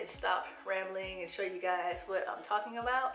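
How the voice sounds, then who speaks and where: Speech comes at a moderate pace with monotone, flat intonation. Audible room echo and noticeable background noise surround it. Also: woman. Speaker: beauty vlogger. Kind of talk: makeup tutorial. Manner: casual, filler-heavy.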